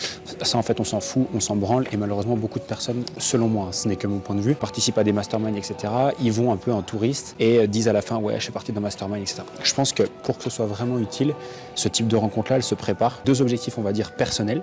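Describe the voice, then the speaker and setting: Over music in the background, a man talks at a very fast pace with hardly any pauses, medium pitch and fairly even intonation. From France. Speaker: online business coach, vlogger. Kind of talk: vlog monologue. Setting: hotel. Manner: casual, with many hesitations.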